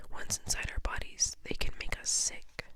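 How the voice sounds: A woman whispering at a moderate pace.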